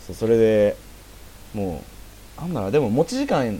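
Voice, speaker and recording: A man at a fairly quick pace. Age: 20s. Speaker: amateur podcast host. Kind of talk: casual chat.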